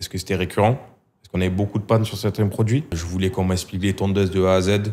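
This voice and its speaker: With a southern French accent, a man talks at a very fast pace in a very deep, low pitch and a monotone, flat intonation. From southern France. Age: 30s. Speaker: hair clipper brand marketing employee; guest. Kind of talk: casual interview. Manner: hesitant, many fillers. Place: studio. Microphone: studio mic.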